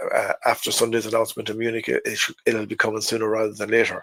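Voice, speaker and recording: With an Irish accent, a man speaks very fast at a medium pitch in a monotone, flat intonation. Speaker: NFL fan podcaster. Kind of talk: casual talk to camera.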